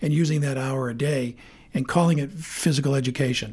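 A man with an American accent sounds somewhat breathy on a very clean recording with a silent background. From Maine, US (Bangor). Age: 60s. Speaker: sportscaster and TV host. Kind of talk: casual interview chat. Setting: studio.

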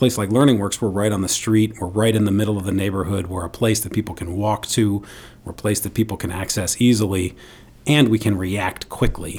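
With an American accent, a man talks at a fairly quick pace in a fairly low, somewhat breathy voice with fairly even intonation. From New York City. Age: 40s. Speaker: nonprofit CEO and former state senator. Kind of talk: radio interview. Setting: studio.

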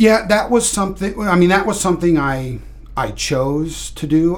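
With an American accent, a man speaks at a moderate pace with lively intonation, and room echo is audible. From Kansas, US Midwest. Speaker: navy veteran, homelessness advocate. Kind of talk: interview. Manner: halting, many fillers and repetitions.

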